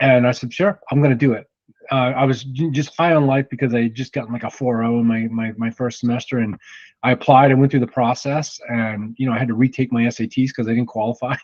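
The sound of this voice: A man with an American accent talks at a fast pace in a medium pitch. His tone is slightly mellow and his intonation fairly even.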